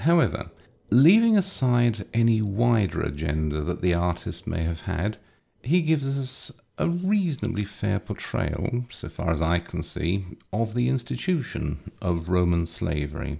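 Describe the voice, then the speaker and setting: Speaking with an English accent at a fairly slow pace, a man's dark, mellow, fairly low voice swings very widely in pitch. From England. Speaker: lecturer. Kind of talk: lecture. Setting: video recording, lower basement. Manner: formal, wry.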